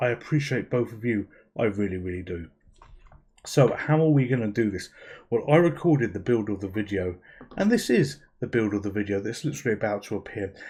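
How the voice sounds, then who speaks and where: Against a quiet background, a man with a British accent speaks fairly quickly at a medium pitch, somewhat breathy, with ordinary pitch variation. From UK. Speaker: YouTube gaming channel host. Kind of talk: casual video narration. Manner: informal, self-deprecating chatty.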